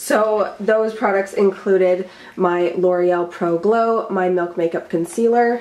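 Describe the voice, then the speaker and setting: Against noticeable background noise, a woman with a medium pitch talks at a fairly slow pace with fairly even intonation. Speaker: beauty youtuber. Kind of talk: casual vlog tutorial.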